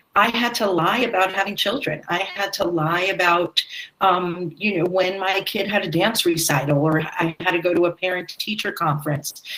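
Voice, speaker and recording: A woman talks at a moderate pace with very even loudness, medium pitch and ordinary pitch variation, while noticeable background noise runs underneath. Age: 60s. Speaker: theatre director. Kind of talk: panel discussion.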